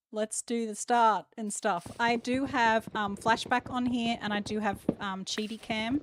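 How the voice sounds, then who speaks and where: Speaking fairly slowly with a monotone, flat intonation, a woman with an Australian accent and fairly high pitch is recorded with a dry, close sound and no echo. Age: 40s. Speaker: gaming streamer. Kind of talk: live game stream chat. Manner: loud.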